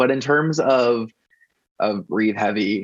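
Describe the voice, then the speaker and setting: A man speaks at a medium pitch with fairly even intonation. It is an ordinary speaking voice. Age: 30s. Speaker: website founder and pop music blogger. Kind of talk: podcast interview.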